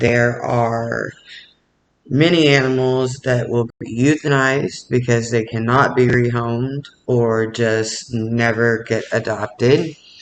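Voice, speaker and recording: The speaker talks at a very slow pace in a monotone, flat delivery. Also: man. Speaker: animal welfare advocate. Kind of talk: informational talk. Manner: halting, many fillers.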